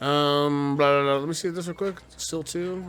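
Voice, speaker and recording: A man talking at a fairly slow pace against noticeable background noise. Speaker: podcast host. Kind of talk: casual chat.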